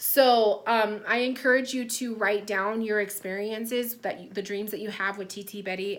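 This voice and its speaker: A woman speaks at a medium pitch and a moderate pace with fairly even intonation. Noticeable background noise and audible room echo are present. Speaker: psychic medium. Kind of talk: spiritual reading. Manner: casual, many fillers.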